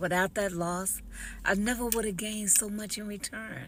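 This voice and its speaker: A woman speaks at a medium pitch and a moderate pace with ordinary pitch variation. Audible room echo surrounds her voice. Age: 60s. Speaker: author and entrepreneur. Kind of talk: personal testimony video.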